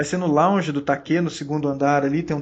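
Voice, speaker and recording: A man speaks with a Minas Gerais accent. He keeps a moderate pace. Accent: Minas Gerais (mineiro). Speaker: podcast host. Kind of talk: casual podcast chat.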